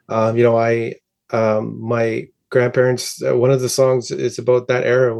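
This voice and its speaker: Quiet surrounds a man as he speaks. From northern Ontario, Cree First Nation community. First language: Cree. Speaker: musician. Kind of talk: interview. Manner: halting, many fillers and repeats.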